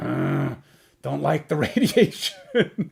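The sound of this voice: A man's put-on character voice, gruff and fairly high in pitch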